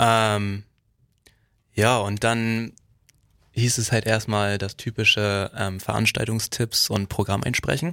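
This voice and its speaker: Pausing long and often, a man with a fairly low-pitched voice talks at a very slow pace in a bright, sharp tone with fairly even intonation, recorded dry and close with no echo on a very clean track with a silent background. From Heide, Schleswig-Holstein, northern Germany. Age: 20s. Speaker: community radio volunteer. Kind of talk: casual chat.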